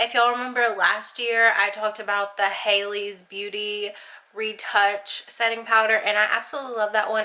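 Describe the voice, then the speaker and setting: With an American accent, a woman speaks at a fairly high pitch. There is noticeable background noise behind her. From Arkansas, USA. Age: 20s. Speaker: beauty YouTuber. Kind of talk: casual talk to camera.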